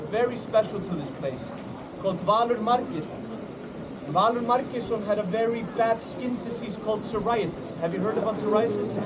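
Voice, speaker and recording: Against noticeable background noise and audible room echo, a man with an Icelandic accent speaks at a high pitch with ordinary pitch variation. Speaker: tour guide. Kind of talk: storytelling to a tour group. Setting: outdoors at a lagoon with a group. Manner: animated.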